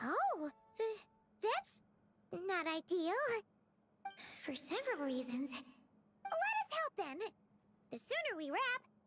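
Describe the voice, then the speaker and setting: Putting on a character voice, a woman talks at an extremely high pitch with very wide pitch swings and a moderate pace broken by long, frequent pauses, the sound dry and close with no echo and music in the background. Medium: video game. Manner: dramatic, indignant.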